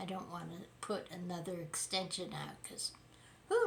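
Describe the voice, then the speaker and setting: Against noticeable background noise, a woman talks at a fairly slow pace with a fairly low pitch. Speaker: political commentary YouTuber. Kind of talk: casual commentary monologue.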